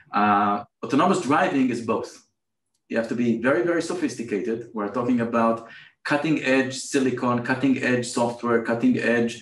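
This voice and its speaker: Audible room echo around a man's speech, its pitch varying in an ordinary way. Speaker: remote guest. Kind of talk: interview answer. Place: office. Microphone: video call.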